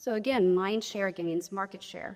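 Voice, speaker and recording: A woman at medium pitch talks at a fairly quick pace in an animated tone. Her pitch varies in an ordinary way. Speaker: real estate agent and speaker. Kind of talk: conference presentation. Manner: fast.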